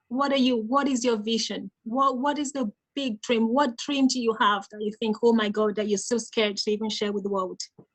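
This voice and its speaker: A woman talks at a fairly quick pace with hardly any pauses, in a fairly high, somewhat breathy voice with fairly even intonation. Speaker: mental health nurse and life coach giving a talk. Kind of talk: interactive conference talk. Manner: teacher-like.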